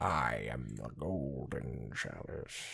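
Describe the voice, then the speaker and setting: The voice is a put-on character voice with a growling quality. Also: man, very deep, low pitch for a man. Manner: grand, dramatic.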